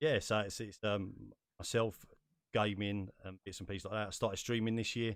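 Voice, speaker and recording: A man with an English accent at a moderate pace. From England. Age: 30s. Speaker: podcast host. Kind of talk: casual chat.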